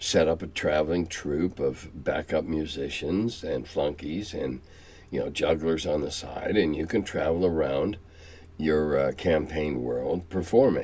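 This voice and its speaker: In an American accent, a man with a very deep, low pitch and a dark, mellow tone speaks at a fairly slow pace, with vocal fry and ordinary pitch variation. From US Midwest (Quad Cities, Illinois/Iowa border). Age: 70s. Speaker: tabletop game veteran and channel host. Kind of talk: casual monologue answering viewer questions. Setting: home cellar. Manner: halting with many fillers and repetitions.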